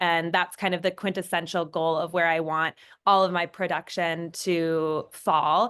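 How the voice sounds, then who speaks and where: The woman's fairly low voice moves at a moderate pace in a monotone, flat intonation. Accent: Minnesotan. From Minnesota, US. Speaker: fashion designer and brand founder. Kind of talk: panel discussion.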